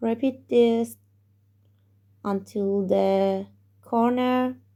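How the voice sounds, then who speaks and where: Very slowly, a woman talks with a non-native accent. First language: not English. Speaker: crochet tutorial maker. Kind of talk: crochet tutorial instruction.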